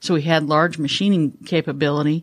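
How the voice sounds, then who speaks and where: In a very clean recording with a silent background, a woman speaks with an American accent. Her pitch is very deep and low, and her intonation is flat and monotone. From Northern California. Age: 60s. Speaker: business CEO. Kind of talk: casual interview. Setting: studio.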